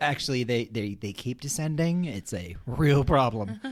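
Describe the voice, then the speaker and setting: Over a very clean, silent background, a man speaks. His tone is playful and his intonation lively. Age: 40s. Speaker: podcast host. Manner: playful, jokey.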